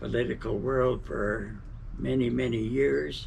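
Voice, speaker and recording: A man talks with an American accent. Room echo is audible. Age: 80s+. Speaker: elderly interviewee. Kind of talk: casual interview.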